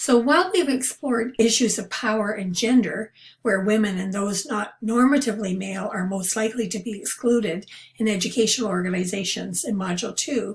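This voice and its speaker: Fairly quick speech comes through. There is a somewhat breathy quality to it. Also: woman, fairly high pitch for a woman, ordinary pitch variation. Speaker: university instructor. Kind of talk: lecture.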